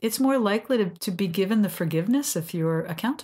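In a very clean recording with a silent background, a woman of medium pitch speaks fairly quickly, her voice somewhat breathy and her intonation lively. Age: 60s. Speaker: sex and couples therapist, podcast host. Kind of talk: casual educational chat.

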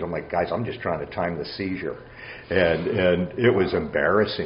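In an American accent, a man with a very deep, low pitch talks at a moderate pace over noticeable background noise. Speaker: amateur golfer and junior golf coach. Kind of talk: casual interview chat.

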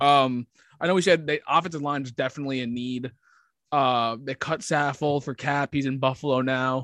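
An unremarkable speaking voice from a man, fairly high in pitch, with fairly even intonation and a moderate pace, in a dry, close sound with no echo and a quiet background. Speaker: sports podcast co-host. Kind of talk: casual chat.

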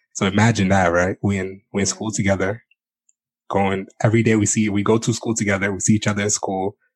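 The man's voice is fairly low in pitch and his pace is very fast. The background is quiet. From Congo. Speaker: podcast host. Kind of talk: casual chat. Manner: animated.

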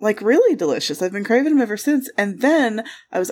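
A woman speaks with a Michigan accent and a fairly high pitch. Her intonation is lively. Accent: Michigan, US Upper Midwest. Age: 30s. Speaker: podcast co-host. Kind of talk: casual chat.

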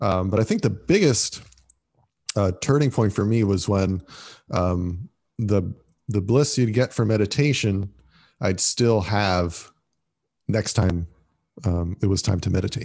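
Against a quiet background, a man with a fairly low pitch talks at a fairly slow pace with ordinary pitch variation, very even loudness and long, frequent pauses. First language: Italian. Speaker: former monk. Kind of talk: casual interview. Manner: hesitant, many fillers.

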